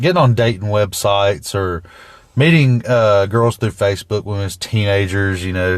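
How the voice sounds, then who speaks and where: Over a quiet background, a man with a Southern US accent talks at a fairly slow pace in a fairly low pitch with ordinary pitch variation. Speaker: truck driver, podcast co-host. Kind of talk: casual chat. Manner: halting, repetitive.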